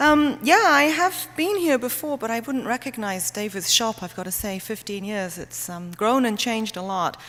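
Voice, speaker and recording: A woman with a British accent speaks at a moderate pace with hardly any pauses. Her fairly high voice shows very wide pitch swings and big swings in loudness. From Britain. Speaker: medical herbalist. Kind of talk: talk to an audience. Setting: church hall with audience.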